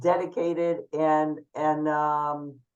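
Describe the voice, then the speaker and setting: A woman with a very deep, low pitch. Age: 60s. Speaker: photographer and runner. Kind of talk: panel talk at online networking event.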